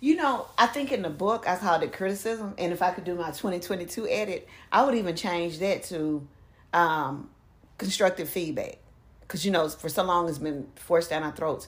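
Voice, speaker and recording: A woman with an unremarkable speaking voice and a medium pitch talks at a moderate pace with lively intonation. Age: 40s. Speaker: ordained elder, author and poet. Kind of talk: casual chat.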